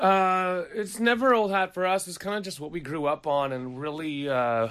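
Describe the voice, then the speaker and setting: Speaking with an American accent, a man's voice swings very widely in pitch. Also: very clean recording, silent background. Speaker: rock musician. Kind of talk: casual interview. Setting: studio.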